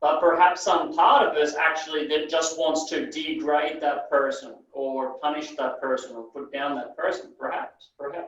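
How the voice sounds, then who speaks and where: Speaking at a moderate pace with hardly any pauses, a man with a fairly high pitch keeps his intonation fairly even while his loudness swings widely. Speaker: NLP trainer. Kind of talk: training session lecture. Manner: sometimes mumbles.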